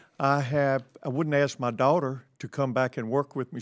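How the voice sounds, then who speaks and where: A man with a normal speaking voice talks at a medium pitch and moderate pace, his intonation fairly even. The sound is dry and close with no echo, and the recording is very clean with a silent background. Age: 60s. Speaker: grocery store owner. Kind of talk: congressional hearing testimony. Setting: committee hearing room.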